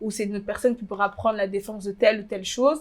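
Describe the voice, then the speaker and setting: Intonation is fairly even from a woman at fairly high pitch. The recording is very clean, with a silent background. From DR Congo. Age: 20s. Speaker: fashion blogger. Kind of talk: interview. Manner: hesitant.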